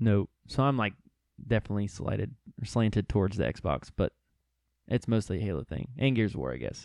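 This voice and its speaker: A man's fairly low, fry-tinged voice with lively intonation, fairly quick delivery and long, frequent pauses, in a dry, close sound with no echo. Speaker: guest.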